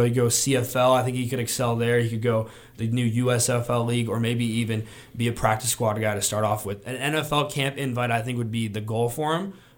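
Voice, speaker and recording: A man with an American accent speaks at a fairly quick pace in an ordinary speaking voice of medium pitch. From Arizona. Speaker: college student and former football player. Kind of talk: casual sports chat.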